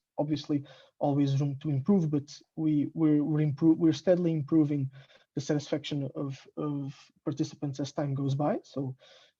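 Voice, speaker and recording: Speaking at a moderate pace, a man uses a fairly high pitch, a dark, mellow tone and monotone, flat intonation, his voice somewhat breathy. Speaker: product operations team member. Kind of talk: webinar Q&A. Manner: halting with pauses between sentences.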